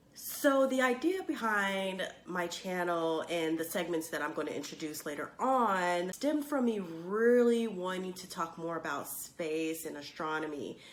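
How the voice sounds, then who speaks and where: The speaker talks at a fairly slow pace with lively intonation. Noticeable background noise runs behind the voice. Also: woman. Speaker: space and astronomy YouTuber. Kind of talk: casual talk to camera.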